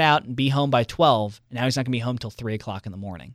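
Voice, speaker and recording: A man with an American accent talks at a very fast pace, medium in pitch with ordinary variation. The recording is very clean, with a silent background. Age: 20s. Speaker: radio host. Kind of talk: casual chat.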